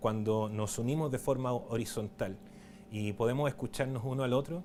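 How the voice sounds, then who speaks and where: A man speaks at a moderate pace in a medium pitch with ordinary pitch variation. Noticeable background noise runs underneath. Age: 30s. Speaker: documentary filmmaker and writer giving a talk. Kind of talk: conference talk. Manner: hesitant, many fillers and restarts.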